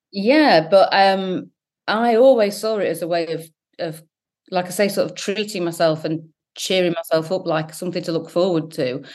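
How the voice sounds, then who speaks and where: In an English accent, a woman with a fairly low pitch speaks at a moderate pace with ordinary pitch variation. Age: 40s. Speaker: founder of a sobriety support website. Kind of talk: interview.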